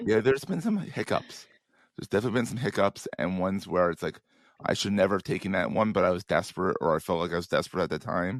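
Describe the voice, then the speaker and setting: A croaky man's voice, fairly low in pitch, very fast and with lively intonation, over a quiet background. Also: dry, close sound with no echo. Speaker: digital marketer, podcast host. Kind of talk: podcast conversation.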